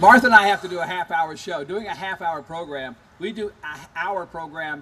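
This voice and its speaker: A man with an American accent speaks fairly quickly in a high voice with ordinary pitch variation. His loudness swings widely, and background noise is noticeable. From Virginia, Shenandoah Valley. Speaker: folk musician. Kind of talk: stage banter. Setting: stage with audience.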